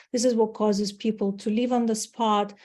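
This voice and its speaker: Against a quiet background, a woman with a Ukrainian accent speaks at medium pitch in a dark, mellow tone with monotone, flat intonation. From Ukraine. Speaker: marketing executive. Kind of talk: webinar presentation. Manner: hesitant, with fillers.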